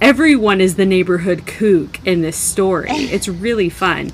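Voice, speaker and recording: A woman at medium pitch speaks at a fairly slow pace. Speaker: tarot podcast co-host. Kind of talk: casual chat.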